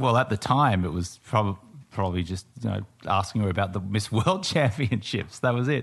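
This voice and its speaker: The voice is somewhat breathy and carries an Australian accent. The pace is fairly quick. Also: man, fairly low pitch for a man, ordinary pitch variation, quiet background. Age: 40s. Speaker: entrepreneur, business partner of host. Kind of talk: casual chat. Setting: home garage studio, streamed live.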